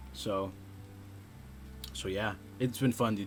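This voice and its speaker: This man's voice has a bright, sharp tone. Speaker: gaming video creator. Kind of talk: gameplay commentary. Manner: casual, halting with fillers.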